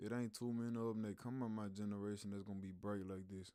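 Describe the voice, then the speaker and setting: With a Louisiana accent, a man speaks in a dark, mellow tone at a fairly low pitch, his intonation monotone and flat. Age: 20s. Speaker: YouTube reactor. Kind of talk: casual reaction commentary. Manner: slangy, uses big words.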